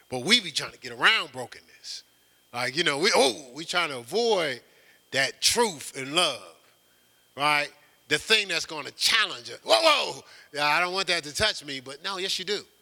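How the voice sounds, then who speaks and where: A man speaks at a moderate pace in a high pitch, with lively intonation. His tone is bright and sharp. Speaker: pastor. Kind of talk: sermon. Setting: church. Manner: halting.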